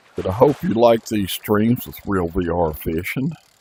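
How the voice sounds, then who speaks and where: Lively intonation carries this very slow delivery, with noticeable background noise behind it. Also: man. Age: 70s. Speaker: gaming streamer. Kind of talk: live game commentary. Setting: live stream from VR headset. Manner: casual, halting with fillers.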